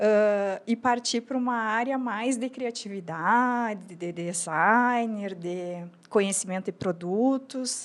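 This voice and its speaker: A fairly high-pitched woman's voice, very slow with hardly any pauses, ordinary pitch variation, on a very clean recording with a silent background. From Brazil, Rio Grande do Sul border (São Borja). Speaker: entrepreneur, lingerie brand founder. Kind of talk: podcast interview.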